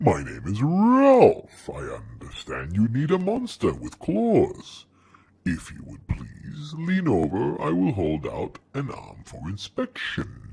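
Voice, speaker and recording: A man talks at a fairly slow pace. He is using a put-on character voice. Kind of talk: polite, formal.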